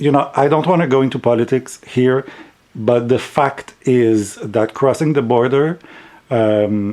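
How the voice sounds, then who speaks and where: The voice has a dark, mellow tone and a French accent. It moves at a fairly slow pace with very even loudness and ordinary pitch variation. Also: man, medium pitch for a man. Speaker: tarot deck reviewer. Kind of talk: casual review vlog. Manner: halting, repeats words.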